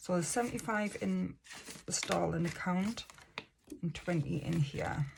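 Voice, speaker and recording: Long, frequent pauses break up this speech in an English accent. Loudness is very even, with noticeable background noise. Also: woman, moderate pace. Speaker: budgeting vlogger. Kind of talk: casual tutorial. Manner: wobbly; hesitant fillers.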